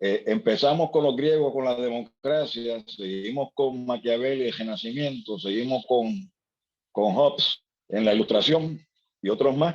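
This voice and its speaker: Lively in intonation, a man talks at a fairly slow pace with a medium pitch. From Puerto Rico, Ponce. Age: 60s. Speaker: seminar participant. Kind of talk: seminar discussion. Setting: video call. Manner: halting, many repetitions.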